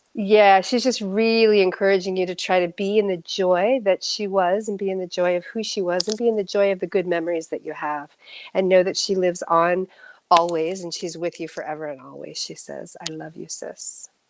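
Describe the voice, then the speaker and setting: Her loudness swings widely as this medium-pitched woman talks at a fairly quick pace with fairly even intonation. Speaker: psychic medium. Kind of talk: psychic reading on livestream. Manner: fast.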